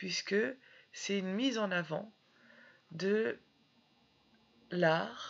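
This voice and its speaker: Very slow speech from a woman at medium pitch, broken by long, frequent pauses. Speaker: French literature teacher. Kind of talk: educational lecture.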